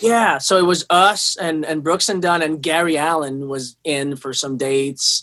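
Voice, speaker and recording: This man has a fairly high pitch and a bright, sharp tone, speaking at a fairly slow pace with ordinary pitch variation and hardly any pauses. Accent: Quebec. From Quebec City, Canada. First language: French. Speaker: touring guitarist. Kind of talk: interview.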